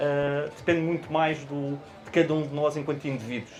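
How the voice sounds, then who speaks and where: This man's fairly high voice moves at a moderate pace in a monotone, flat intonation, with noticeable background noise and audible room echo. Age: 30s. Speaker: finance executive and guest lecturer. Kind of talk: panel discussion. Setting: book fair auditorium with audience. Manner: halting, many hesitations and repetitions.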